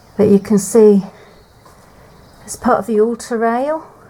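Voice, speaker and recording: A woman talks at a fairly slow pace with ordinary pitch variation as noticeable background noise runs underneath. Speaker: urban explorer vlogger. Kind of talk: exploration walkthrough narration. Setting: inside and around an abandoned church. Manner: quiet, hushed.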